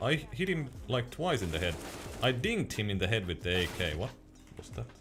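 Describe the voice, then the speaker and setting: The man speaks with a Finnish accent in a fairly low pitch. His pace is fairly quick, and his pitch swings very widely. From Finland. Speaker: gaming streamer and mouse reviewer. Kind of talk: live stream chat while gaming. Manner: halting.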